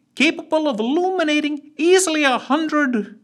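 A man performs a put-on character voice that is resonant and extremely high in pitch. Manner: calm, terse, dry.

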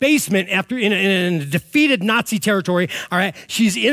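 Someone reads aloud using a natural voice.

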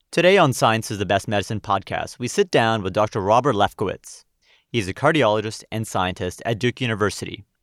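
At a fairly quick pace, an ordinary speaking voice comes through a very clean recording with a silent background, a dry, close sound with no echo, and ordinary pitch variation. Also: man, fairly low pitch for a man. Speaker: podcast host. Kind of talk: interview.

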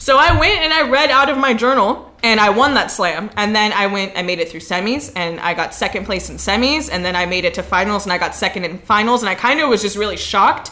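A woman talks at a very fast pace with lively intonation. Noticeable background noise is present. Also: medium pitch for a woman, hardly any pauses. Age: young. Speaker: performance poet and musician. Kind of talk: casual chat. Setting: studio.

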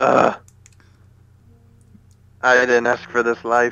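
A man's robotic, put-on character voice, monotone and flat, at a medium pitch. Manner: mock-dramatic.

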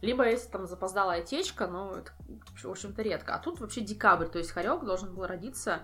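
Speaking at a very fast pace, a woman has a medium pitch, a bright, sharp tone and audible vocal fry. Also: ordinary pitch variation. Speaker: ferret breeder. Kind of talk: casual chat.

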